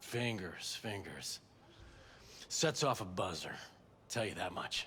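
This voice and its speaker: A put-on character voice from a man, raspy and fairly low-pitched, with ordinary pitch variation, a fairly slow pace and clear background noise. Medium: video game. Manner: sardonic, mocking.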